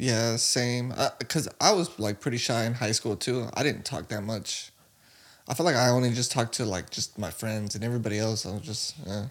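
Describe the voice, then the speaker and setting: A man's normal speaking voice at a medium pitch, with an American accent, ordinary pitch variation, and a very clean recording with a silent background. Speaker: podcast co-host. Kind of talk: casual chat.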